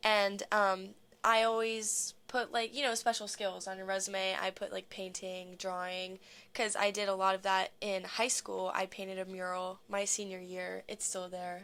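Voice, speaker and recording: A woman with an American accent speaks at medium pitch and a moderate pace, her tone bright and sharp and her intonation monotone and flat, in a very clean recording with a silent background. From US, Maryland. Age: 20s. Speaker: dancer. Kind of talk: casual chat.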